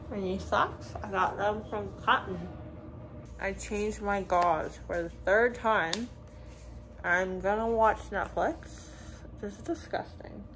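A woman at a very slow pace, with long, frequent pauses over light background noise. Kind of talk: casual vlog chat. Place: home room. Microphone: phone near.

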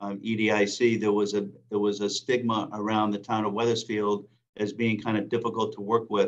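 A man speaks at a moderate pace in a fairly low voice, monotone and flat in intonation, over a quiet background. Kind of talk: meeting report. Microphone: video call.

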